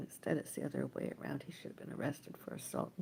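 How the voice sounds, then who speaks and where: Vocal fry runs through a woman's dark, mellow tone as she talks. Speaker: livestreamer. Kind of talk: casual livestream monologue. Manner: rambling, halting.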